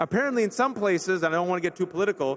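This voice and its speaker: With an American accent, a man speaks in a high voice with ordinary pitch variation over noticeable background noise. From US West Coast, Bay Area California. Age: 40s. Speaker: speaker. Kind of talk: conference speech. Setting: stage with audience. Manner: animated.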